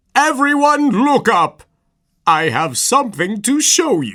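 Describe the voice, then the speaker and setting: In a put-on character voice, the speaker uses a fairly high pitch with very wide pitch swings at a fairly slow pace. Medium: audio drama.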